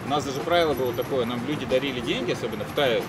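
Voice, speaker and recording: A man talks at a very fast pace. Loud background noise runs underneath. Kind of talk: casual group storytelling. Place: cafe. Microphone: lapel.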